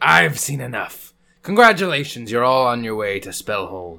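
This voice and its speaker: A man's put-on character voice at a moderate pace. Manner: irritated, exasperated.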